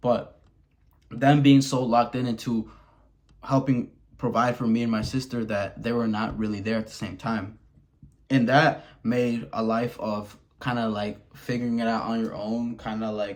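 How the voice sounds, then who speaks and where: Speaking in an American accent, a man keeps a medium pitch and fairly even intonation. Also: moderate pace. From Wisconsin, small town, Mexican family. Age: 20s. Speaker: vlogger. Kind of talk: personal confessional vlog. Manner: casual, halting with many repetitions.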